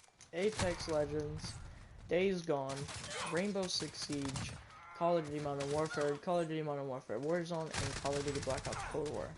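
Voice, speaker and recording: Noticeable background noise and audible room echo accompany a man speaking at a moderate pace, with fairly high pitch and fairly even intonation. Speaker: gaming streamer. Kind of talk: casual gaming stream chat. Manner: loud, often yelling.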